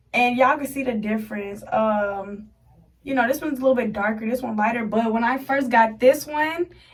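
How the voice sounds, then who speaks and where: An animated tone comes through in a room with audible echo. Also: woman. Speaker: beauty vlogger. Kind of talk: casual tutorial vlog. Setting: bathroom. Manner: fast.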